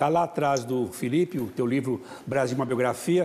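A man at a moderate pace with ordinary pitch variation, amid noticeable background noise. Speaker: international affairs commentator. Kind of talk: talk show discussion.

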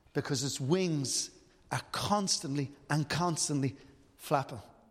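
Fairly high-pitched male speech at a moderate pace with lively intonation. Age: 50s. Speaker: preacher. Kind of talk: sermon.

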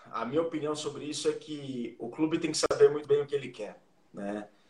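The voice moves with ordinary pitch variation while noticeable background noise runs underneath. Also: man. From interior of São Paulo state, Brazil (Jaú). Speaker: sports journalist and rugby administrator. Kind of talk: casual interview.

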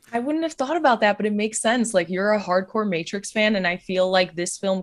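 A woman with an unremarkable speaking voice talks at a fairly quick pace. Her pitch varies in an ordinary way. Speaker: podcast co-host, film fan. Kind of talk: casual chat.

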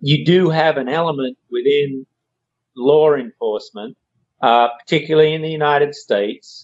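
Speaking in an Australian accent, a man keeps a moderate pace with ordinary pitch variation. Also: fairly high pitch for a man. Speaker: co-host, parent. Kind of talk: casual chat.

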